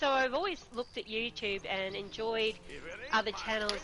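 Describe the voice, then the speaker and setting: A woman speaks with an Australian accent. Noticeable background noise runs behind her. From Australia, Queensland. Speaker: gaming streamer. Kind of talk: interview.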